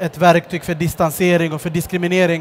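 Over light background noise, a man with a high voice talks at a fairly quick pace in a monotone, flat intonation. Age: 30s. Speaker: social entrepreneur; guest. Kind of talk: stage interview. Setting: stage at a book fair with audience. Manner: hesitant, with fillers. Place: stage. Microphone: headset.

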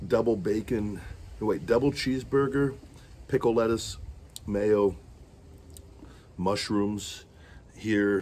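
A man's fairly low voice at a very slow pace, with ordinary pitch variation and light background noise. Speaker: food vlogger. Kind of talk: casual vlog chat. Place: garden. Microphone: phone near.

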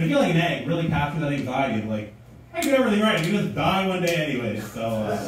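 A man talks at a very fast pace with very wide pitch swings, strong room echo and light background noise. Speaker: stand-up comedian. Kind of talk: stand-up comedy routine. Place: stage.

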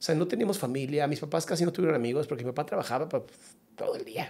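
A man talks at a very fast pace in a fairly high pitch. His pitch varies in an ordinary way. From Mexico. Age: 40s. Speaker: psychologist; podcast guest. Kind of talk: casual chat. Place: studio. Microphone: studio mic.

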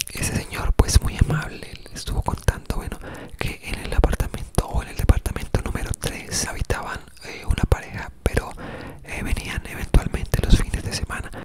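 A man's whisper, moderately paced. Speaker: ASMR creator. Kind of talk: ASMR whispered storytelling. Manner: whispered, soft-spoken, relaxing. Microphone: studio mic.

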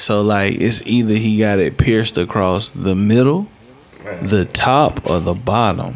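A man at a fairly slow pace, very even in loudness, over light background noise. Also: fairly low pitch for a man, ordinary pitch variation. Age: 20s. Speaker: podcast host. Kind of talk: casual chat. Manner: animated. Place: studio. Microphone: studio mic.

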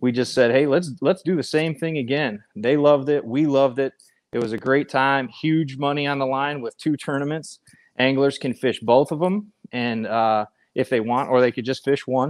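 The background stays quiet. A man keeps a moderate pace, his pitch varying in an ordinary way. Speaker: guest. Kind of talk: interview answer. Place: garage. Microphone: earbuds.

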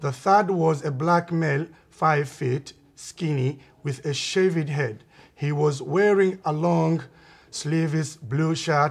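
A man speaks at a very slow pace, somewhat breathy. His voice is fairly high, with fairly even intonation. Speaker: amateur video maker. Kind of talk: amateur documentary narration. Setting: outdoors in a park.

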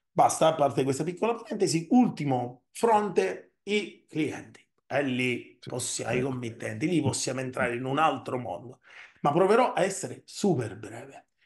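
Against a quiet background, a man with a fairly high pitch and vocal fry talks at a moderate pace with very wide pitch swings. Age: 40s. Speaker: software company CEO; guest. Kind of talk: interview. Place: home room.

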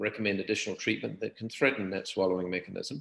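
There's audible room echo around a man's fairly low voice, with a quiet background. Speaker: surgeon; guest. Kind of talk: interview conversation. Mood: calm, reflective. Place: home room. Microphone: webcam.

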